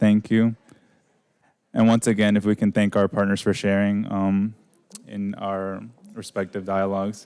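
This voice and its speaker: Pausing long and often, a man speaks at a fairly low pitch in a dark, mellow tone with monotone, flat intonation, in a very clean recording with a silent background. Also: moderate pace. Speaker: event facilitator. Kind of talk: event presentation. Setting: event venue with audience.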